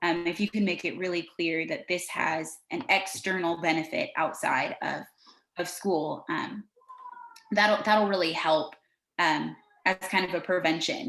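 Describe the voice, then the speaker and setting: In a normal speaking voice, a woman with an American accent talks at a fairly low pitch. She speaks at a fairly slow pace with ordinary pitch variation. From California. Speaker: education specialist presenter. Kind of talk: webinar presentation. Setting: video call.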